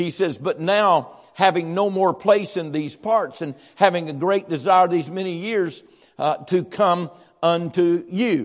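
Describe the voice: With a high pitch, ordinary pitch variation and few pauses, a man talks at a fairly slow pace.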